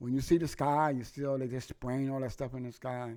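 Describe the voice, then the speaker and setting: Recorded very cleanly against a silent background, a man speaks in a dark, mellow tone. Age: 60s. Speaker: podcast host. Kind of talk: political rant monologue. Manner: animated; repetitive stumbling.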